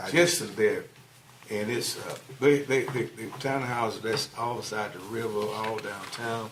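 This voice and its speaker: Amid noticeable background noise and audible room echo, a man talks at a fairly slow pace with a medium pitch and ordinary pitch variation. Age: 70s. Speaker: planning commission member. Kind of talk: meeting discussion.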